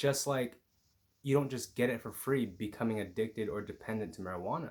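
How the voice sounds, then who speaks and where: A quiet man's voice of medium pitch, fairly quick in pace, with ordinary pitch variation. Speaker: YouTuber and marijuana mindfulness coach. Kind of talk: motivational vlog. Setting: at home with housemates. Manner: lower energy.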